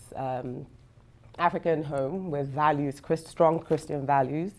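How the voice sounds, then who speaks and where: A woman speaks in a very deep, low voice with a dark, mellow tone. Her intonation stays fairly even. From Nigeria. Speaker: scrum master. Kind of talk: personal testimony. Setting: video call.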